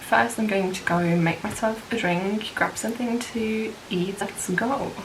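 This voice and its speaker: A woman speaks at a medium pitch with fairly even intonation, a fairly slow pace and hardly any pauses, amid noticeable background noise and audible room echo. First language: French. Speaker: book vlogger. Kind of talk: casual vlog talk.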